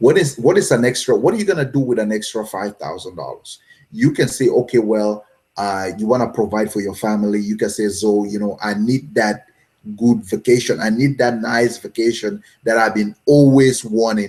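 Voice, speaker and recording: A man talks in a normal speaking voice at a medium pitch. He keeps a moderate pace with ordinary pitch variation. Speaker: online business coach. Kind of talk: live stream talk. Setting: live video stream with chat.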